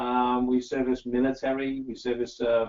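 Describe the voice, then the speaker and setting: The speaker is a man with an English accent. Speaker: working dog trainer and company founder. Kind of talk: interview.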